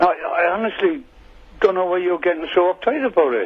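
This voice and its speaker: In an Irish accent, the speaker talks at a moderate pace with lively intonation. Noticeable background noise runs underneath. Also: man. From Ireland. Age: 60s. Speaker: caller. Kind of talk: radio phone-in argument. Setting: phone call.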